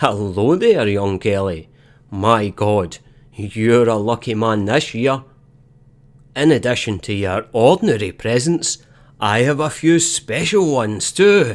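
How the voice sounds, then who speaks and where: A man's gruff, put-on character voice at medium pitch, with lively intonation and a fairly slow pace. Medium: read story.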